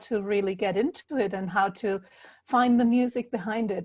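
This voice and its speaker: With a German accent, a woman talks at a moderate pace in a fairly high, somewhat breathy voice with ordinary pitch variation against a quiet background. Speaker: healer and puzzle author. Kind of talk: interview. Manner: halting.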